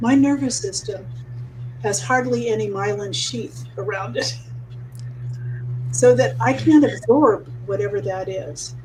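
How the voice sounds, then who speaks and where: Long, frequent pauses break up the fairly slow delivery against noticeable background noise. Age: 80s+. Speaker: mastermind call participant. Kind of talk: casual group video call. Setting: group call. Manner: halting.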